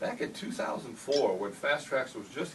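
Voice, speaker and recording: A man speaks over noticeable background noise. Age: 70s. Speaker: model railroad hobbyist showing his layout. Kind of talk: casual layout tour talk. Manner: halting, with repeats.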